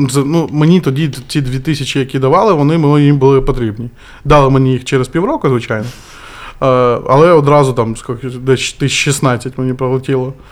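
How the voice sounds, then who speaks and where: A plain, everyday voice from a man, medium in pitch, with ordinary pitch variation at a moderate pace. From Kherson, southern Ukraine. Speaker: volunteer and former guesthouse owner. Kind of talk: podcast interview.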